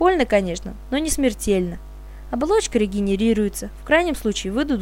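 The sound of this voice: The clip features an unforced reading voice with lively intonation.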